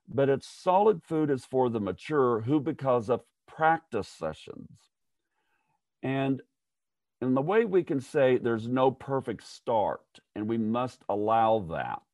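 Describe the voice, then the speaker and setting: A plain, everyday voice comes at a fairly slow pace, the sound dry and close with no echo. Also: man, medium pitch for a man. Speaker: author and leadership consultant. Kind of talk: interview.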